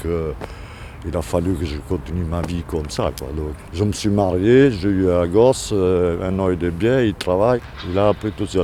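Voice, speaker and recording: A man's voice comes through very deep and low, with noticeable noise behind it. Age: 80s+. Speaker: street interviewee. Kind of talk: street interview. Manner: halting, repeats words.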